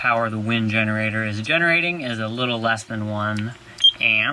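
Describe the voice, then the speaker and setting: At a moderate pace, a man talks with ordinary pitch variation in a dry sound with no echo. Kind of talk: tutorial. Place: boat. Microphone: phone near.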